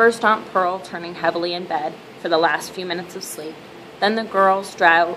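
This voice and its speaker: A woman at a moderate pace with fairly even intonation over light background noise. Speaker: reader. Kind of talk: reading aloud from a novel. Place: home room. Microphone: webcam.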